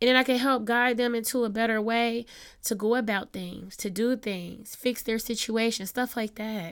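A woman in a normal speaking voice talks at a moderate pace and fairly high pitch with fairly even intonation, on a very clean recording with a silent background. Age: 30s. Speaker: podcast host. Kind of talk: casual monologue. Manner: conversational, meandering.

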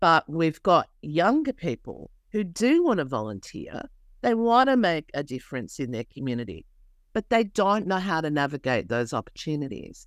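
With an Australian accent, a woman with a very deep, low pitch and vocal fry makes very wide pitch swings, in a very clean recording with a silent background and a dry, close sound with no echo. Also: moderate pace. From New South Wales, Australia. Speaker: community organisation CEO, social worker. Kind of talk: interview.

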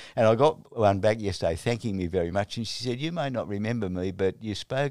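On a very clean recording with a silent background, a man with an Australian accent talks at a fairly quick pace, his fairly low pitch showing ordinary variation. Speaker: retired Presbyterian minister. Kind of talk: interview. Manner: halting.

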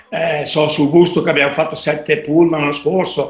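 A man's fairly high voice comes through audible room echo along with noticeable background noise. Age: 50s. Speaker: DJ and dance event organizer. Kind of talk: interview.

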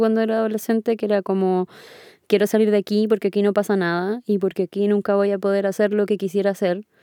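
A woman speaks at a medium pitch in a dark, mellow tone with monotone, flat intonation. The sound is dry and close with no echo, on a very clean recording with a silent background. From Chile, Punta Arenas. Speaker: audio engineer and music producer. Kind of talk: interview.

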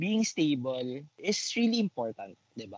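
A man speaks with a fairly high pitch that swings very widely up and down. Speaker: podcast co-host. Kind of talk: casual chat.

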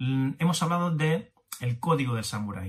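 Ordinary pitch variation in a somewhat breathy male voice. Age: 50s. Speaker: business coach podcaster. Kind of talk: motivational monologue. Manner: animated.

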